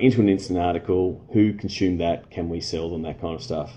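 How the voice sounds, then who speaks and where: A man with an Australian accent talks at a fairly quick pace and a fairly low pitch. His tone is dark, mellow and somewhat breathy. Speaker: sports marketing consultant. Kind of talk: live stream Q&A. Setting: Facebook live stream. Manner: halting, many fillers.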